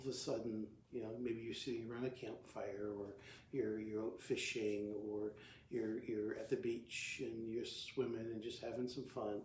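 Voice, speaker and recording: In a room with audible echo, a man speaks in a monotone, flat way with a somewhat breathy voice. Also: medium pitch for a man, moderate pace. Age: 60s. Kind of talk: talk to camera, devotional teaching. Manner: halting, many fillers and restarts; casual, conversational.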